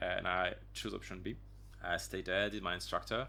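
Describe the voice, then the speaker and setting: In a French accent, a man talks at a moderate pace. His tone is bright and sharp, with vocal fry. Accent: French accent, noticeable. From France, Auvergne region. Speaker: dive instructor and dive medic. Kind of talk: casual interview chat. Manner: halting, many fillers and restarts.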